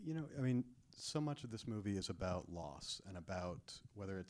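A normal speaking voice from a man, fairly low in pitch. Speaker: Q&A moderator. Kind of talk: moderated Q&A. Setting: theater stage with audience.

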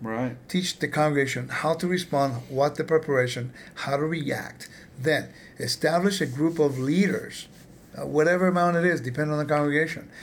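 This is an ordinary speaking voice, a man with an American accent. His pitch is fairly high, his pace moderate and his intonation fairly even. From California. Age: 50s. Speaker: podcast host. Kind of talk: interview.

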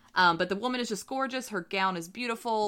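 Speaking at a fairly quick pace in a very clean recording with a silent background, a woman with a slight Southern US accent sounds animated, with a bright, sharp tone and lively intonation. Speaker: tarot podcast co-host. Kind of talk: casual chat. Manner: animated, laughing often.

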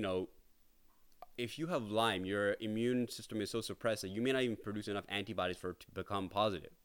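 A man speaks very fast in a Toronto accent, his pitch medium with ordinary variation. The recording is very clean, with a silent background. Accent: Canadian English (Toronto). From Canada, Toronto area (Brampton). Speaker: podcaster sharing illness journey. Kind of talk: personal monologue. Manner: hesitant, many fillers.

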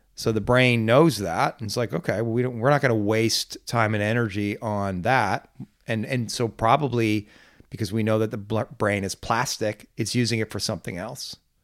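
In an ordinary speaking voice, a man speaks at a medium pitch and a moderate pace with fairly even intonation, captured on a very clean recording against a silent background. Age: 50s. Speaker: podcast host. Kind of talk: casual chat. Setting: makeshift studio room in office space.

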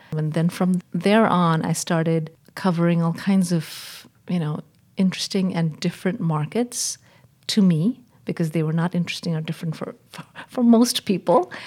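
A woman's fairly low voice comes through somewhat breathy. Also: ordinary pitch variation, moderate pace. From Northeast India (Shillong). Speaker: journalist and news editor. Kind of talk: interview. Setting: in person.

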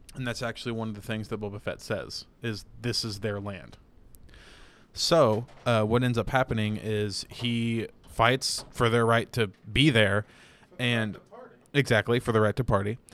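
This is a man with an ordinary speaking voice. He talks at a moderate pace with fairly even intonation. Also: medium pitch for a man. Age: 20s. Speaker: podcast co-host. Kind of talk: casual chat. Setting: home studio with camera.

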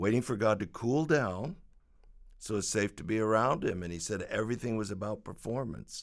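This is a normal speaking voice with ordinary pitch variation. The recording is very clean, with a silent background. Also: man, fairly low pitch for a man, fairly quick pace. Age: 60s. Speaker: pastor and author. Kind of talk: reading aloud.

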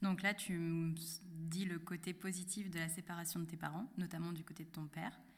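Somewhat breathy and fairly low, a woman's voice moves at a moderate pace in a monotone with flat intonation. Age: 20s. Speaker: podcast host. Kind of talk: interview.

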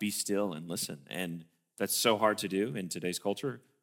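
A man with a Tennessee accent talks at a very fast pace on a very clean recording with a silent background. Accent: Southern US (Tennessee). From US South, Tennessee (Sparta). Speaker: film assistant director and producer. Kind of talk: interview in church service.

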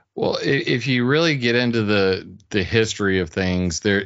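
Speaking with an American accent, a man talks at a moderate pace with ordinary pitch variation. It is a normal speaking voice. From US South, Sumter, South Carolina. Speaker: weather modification researcher and website author. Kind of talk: casual interview.

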